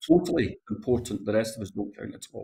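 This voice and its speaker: A man's dark, mellow tone in a Glasgow accent. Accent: Scottish, Glasgow. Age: 60s. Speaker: politician. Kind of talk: current affairs interview.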